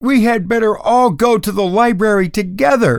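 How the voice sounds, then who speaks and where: A man does a put-on character voice, pitched high and delivered at a moderate pace. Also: ordinary pitch variation. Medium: read story.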